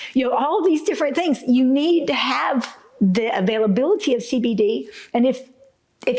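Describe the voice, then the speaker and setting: A woman speaks with a high pitch at a moderate pace. Noticeable background noise is present. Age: 60s. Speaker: retired attorney. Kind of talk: testimony to camera.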